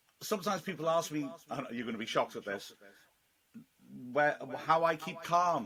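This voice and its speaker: Someone with a British accent talks at a fairly quick pace. Long, frequent pauses break up the speech. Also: man. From Britain. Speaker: football commentator. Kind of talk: casual interview. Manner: fast, excitable when commentating.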